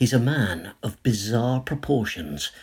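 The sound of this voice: It is an unforced reading voice with ordinary pitch variation.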